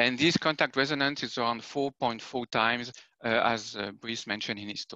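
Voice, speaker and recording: A man with a French accent, bright and sharp in tone, fairly quick, with fairly even intonation, big swings in loudness, a dry, close sound with no echo and a quiet background. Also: medium pitch for a man. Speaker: application scientist giving a tutorial. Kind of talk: technical tutorial. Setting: video conference. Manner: hesitant with frequent fillers.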